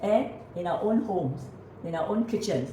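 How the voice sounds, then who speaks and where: A woman with a medium-pitched voice speaks fairly slowly and with lively intonation, with noticeable background noise and audible room echo. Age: 80s+. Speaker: natural health author and presenter. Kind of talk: casual conversation.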